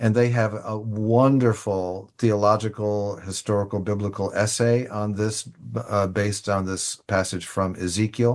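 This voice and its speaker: His voice fairly low and his intonation monotone and flat, a man speaks at a fairly slow pace. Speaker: church leader presenting liturgy resources. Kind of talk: online presentation with screen share.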